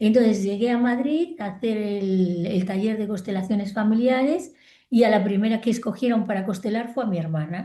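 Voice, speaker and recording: A woman with a dark, mellow, somewhat breathy tone speaks at a moderate pace in a fairly high pitch, with ordinary pitch variation over a quiet background. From Spain, Galicia. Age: 60s. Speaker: psychologist and family constellations therapist. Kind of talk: interview. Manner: animated.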